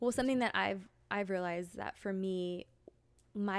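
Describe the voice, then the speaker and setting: On a very clean recording with a silent background, a woman uses an ordinary speaking voice at a moderate pace and medium pitch. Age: 30s. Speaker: school therapist. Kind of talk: casual chat. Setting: at a home.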